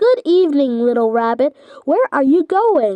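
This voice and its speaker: A woman performs a put-on character voice, high in pitch with very wide pitch swings. She keeps a moderate pace. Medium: read story. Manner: smooth, wheedling.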